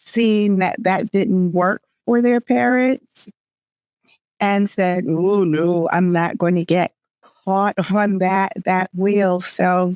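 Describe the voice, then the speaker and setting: A woman speaks at a very slow pace in a medium pitch. The sound is dry and close, with no echo. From Jamaica. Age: 60s. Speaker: podcast host. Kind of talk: interview.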